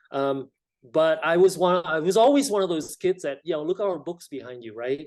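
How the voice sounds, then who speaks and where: Speaking with a Vietnamese accent, a man uses ordinary pitch variation. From South Vietnam, emigrated to California at 13. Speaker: state legislator. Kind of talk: interview.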